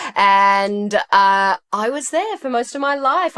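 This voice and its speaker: On a very clean recording with a silent background, a woman with an Australian accent speaks at a fairly high pitch. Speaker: ADHD health and nutrition practitioner. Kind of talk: interview.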